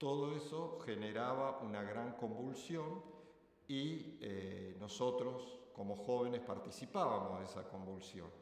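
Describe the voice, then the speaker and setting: Spoken at a very slow pace with lively intonation, the voice carries audible room echo over noticeable background noise. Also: man, medium pitch for a man. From Argentina, Rosario. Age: 60s. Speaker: retired student interviewee. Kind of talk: interview testimony.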